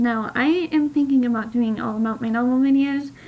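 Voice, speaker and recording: A high-pitched woman with fairly even intonation, against noticeable background noise. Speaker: aspiring novelist vlogger. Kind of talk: casual vlog.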